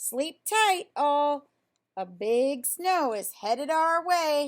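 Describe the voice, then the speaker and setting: A put-on character voice with very wide pitch swings at a very slow pace. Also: woman, high pitch for a woman. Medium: read story. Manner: folksy.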